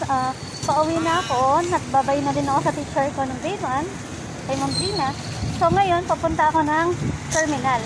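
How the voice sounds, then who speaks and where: Moderate-paced female speech amid audible room echo and noticeable background noise. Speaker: vlogger. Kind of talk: casual vlog narration. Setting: outdoors. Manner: soft-spoken.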